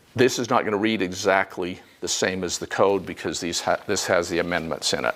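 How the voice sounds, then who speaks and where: Fairly low pitch from a man with ordinary pitch variation, amid noticeable background noise. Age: 60s. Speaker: energy code instructor. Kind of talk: lecture.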